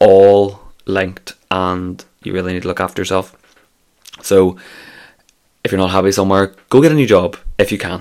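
With long, frequent pauses, a man with a Scottish accent speaks in a very deep, low pitch. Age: 20s. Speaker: podcast host. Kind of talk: casual solo monologue. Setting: office.

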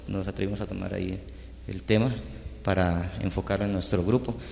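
With audible room echo, a man speaks at a moderate pace in a fairly low pitch with vocal fry and ordinary pitch variation. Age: young. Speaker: musician. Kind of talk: casual chat.

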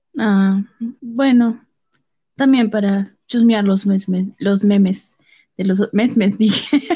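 Somewhat breathy and dark, mellow in tone, a woman speaks at a very slow pace with long, frequent pauses. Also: fairly even intonation. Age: 20s. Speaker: podcast guest, host's sister. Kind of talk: casual chat.

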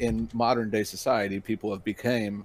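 A man's normal speaking voice, fairly low in pitch, with fairly even intonation. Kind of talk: casual chat. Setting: online voice call.

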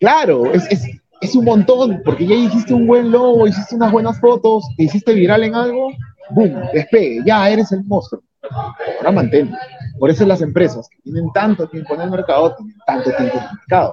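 Swinging widely in pitch and loudness, a man with a high voice talks at a moderate pace. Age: 30s. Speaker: restaurant owner and entrepreneur. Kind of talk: interview. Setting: in his restaurant.

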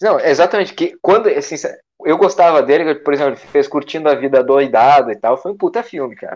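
A fairly high-pitched male voice at a very fast pace, with lively intonation and a quiet background. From Brazil, Santa Catarina coast. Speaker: podcast co-host. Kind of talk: casual comedic chat.

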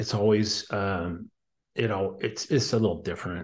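A man talks at a fairly slow pace in a fairly low, somewhat breathy voice. The background is quiet. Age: 50s. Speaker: husband of the host, recovering alcoholic. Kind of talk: personal testimony interview. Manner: halting, repeating words.

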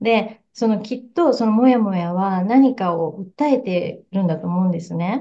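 Speaking at a fairly slow pace, a woman uses a medium pitch with ordinary pitch variation. Her tone is dark and mellow, and somewhat breathy. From Japan. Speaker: psychotherapist. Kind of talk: casual interview. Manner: warm and gentle.

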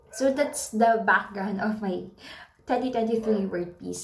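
Speaking very slowly with a Filipino accent, a woman uses ordinary pitch variation while audible room echo surrounds her voice. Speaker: podcaster. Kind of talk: casual monologue. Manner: halting.

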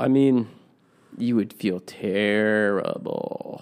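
Here is a man with a plain, everyday voice. His pitch is medium, with ordinary variation. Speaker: podcast co-host. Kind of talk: casual chat.

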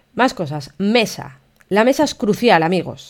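An animated woman's voice with lively intonation, on a very clean recording with a silent background. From Spain, León. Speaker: photographer and podcaster. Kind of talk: casual solo podcast monologue.

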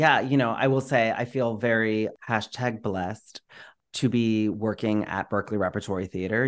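Over a quiet background, a man speaks at a moderate pace with a fairly low pitch and fairly even intonation, in a plain, everyday voice. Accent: American. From Florida. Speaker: theatre director. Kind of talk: casual interview chat. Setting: home microphone, remote recording.

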